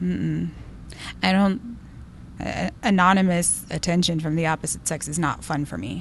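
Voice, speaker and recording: Speaking with an American accent at a moderate pace, a woman leaves long, frequent pauses. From Texas border, Del Rio. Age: 30s. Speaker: weight loss interviewee. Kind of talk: interview. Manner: hesitant, with many fillers.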